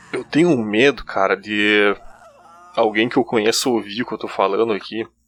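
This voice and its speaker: A fairly low male voice at an even, moderate speed. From Rio Grande do Sul, countryside, German colonial area. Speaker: listener sending a personal story. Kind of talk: recorded personal testimony. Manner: halting, with many restarts; casual.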